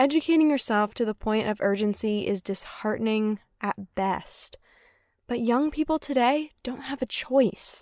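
A woman with an unremarkable speaking voice talks at a moderate pace in a fairly high pitch with ordinary pitch variation, the sound dry and close with no echo and the recording very clean against a silent background. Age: 20s. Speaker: podcast producer and host. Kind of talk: scripted narration.

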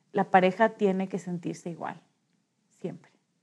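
A woman is speaking. Her tone is dark and mellow. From Ecuador, Quito. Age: 30s. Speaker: social entrepreneur. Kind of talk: interview storytelling. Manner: hesitant with frequent fillers.

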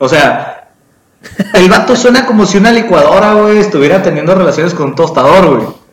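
A man speaks with a high pitch and lively intonation at a moderate pace. Audible room echo surrounds his voice. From Mexico. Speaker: podcast co-host. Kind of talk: casual chat. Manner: animated.

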